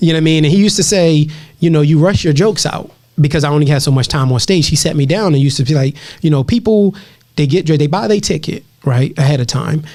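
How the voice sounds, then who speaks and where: Talking very fast, a man with a fairly high, dark, mellow, somewhat breathy voice keeps his loudness very even and his pitch variation ordinary. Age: 30s. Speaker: stand-up comedian. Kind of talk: casual chat.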